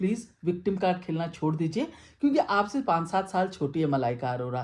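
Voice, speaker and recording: A woman speaks in an animated tone with very wide pitch swings, a somewhat breathy quality and a fairly low pitch. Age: 60s. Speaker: stand-up comedian and vlogger. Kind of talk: personal story monologue. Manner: animated Hinglish code-switching.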